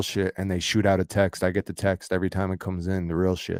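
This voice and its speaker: Very deep, low male voice with an American accent, monotone and flat, in a dry, close recording with no echo and a very clean, silent background. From Florida. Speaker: livestream host. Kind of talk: casual chat.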